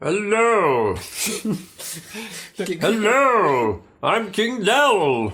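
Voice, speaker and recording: In a put-on character voice with fairly high pitch, the speaker goes at a very slow pace with long, frequent pauses. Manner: grand, regal.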